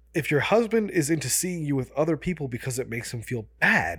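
In an American accent, the speaker is somewhat breathy, with very wide pitch swings at a moderate pace, on a very clean recording with a silent background. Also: man. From US suburbs. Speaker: podcast co-host. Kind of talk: casual chat.

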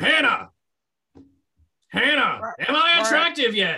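This is a man doing a put-on character voice. He pitches it extremely high and speaks at a fairly slow pace. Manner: menacing, then pleading.

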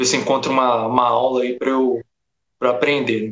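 A man talks fairly quickly, his medium pitch held in monotone, flat intonation. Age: 20s. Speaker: game audio student. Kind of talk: casual chat. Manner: hesitant with many fillers.

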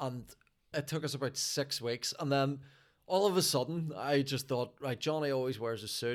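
This man has a Northern Irish accent and a fairly high pitch. He speaks at a moderate pace. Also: ordinary pitch variation. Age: 40s. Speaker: stand-up comedian. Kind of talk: casual chat.

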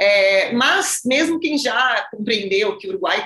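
Animated in tone, a woman with a fairly high voice speaks with lively intonation. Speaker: wine podcast host. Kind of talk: interview.

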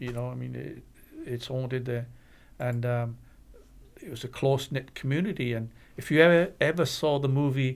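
With a Welsh accent, a man talks at a medium pitch and a moderate pace. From Wales. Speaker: paranormal investigator. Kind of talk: casual chat.

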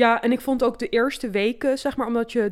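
A woman speaks fairly quickly in an ordinary speaking voice, fairly high-pitched with ordinary pitch variation, in a very clean recording with a silent background. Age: 30s. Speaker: podcast co-host. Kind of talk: casual chat.

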